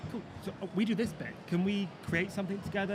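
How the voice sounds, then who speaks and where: This man talks very fast with a West Country accent, with noticeable background noise and audible room echo. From Plymouth, south-west England. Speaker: business owner. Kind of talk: live panel discussion. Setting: business show with live audience. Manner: animated, informal.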